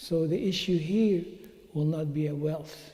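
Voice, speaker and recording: A man's high-pitched, dark and mellow voice at a fairly slow pace, with fairly even intonation and audible room echo. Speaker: Islamic teacher. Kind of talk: religious talk. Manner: halting.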